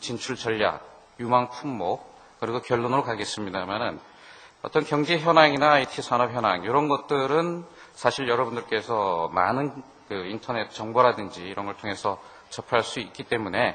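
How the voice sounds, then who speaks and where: This man speaks at a medium pitch and a moderate pace. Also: ordinary pitch variation. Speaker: business consultant presenting at a seminar. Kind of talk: seminar presentation. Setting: seminar hall with audience. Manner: conversational, with fillers.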